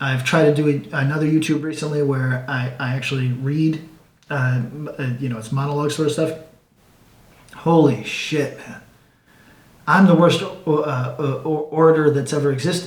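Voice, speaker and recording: Audible room echo surrounds a man speaking at a moderate pace, his pitch fairly high and his intonation fairly even. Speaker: comic book writer and YouTuber. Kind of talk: casual monologue. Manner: stuttering; rambling, halting with many fillers.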